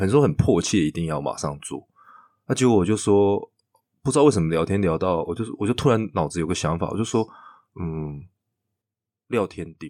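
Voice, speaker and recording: A man with a Taiwanese accent, very deep and low in pitch with a dark, mellow tone, lively intonation, a moderate pace and long, frequent pauses, on a very clean recording with a silent background. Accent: Taiwanese Mandarin. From Taiwan, Chiayi. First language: Taiwanese Hokkien (speaking Chinese). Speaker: theatre director. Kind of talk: casual interview chat.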